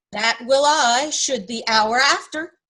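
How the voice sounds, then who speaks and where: Using a put-on character voice, a woman talks at a high pitch and a fairly slow pace. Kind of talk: amateur Shakespeare reading. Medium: stage play.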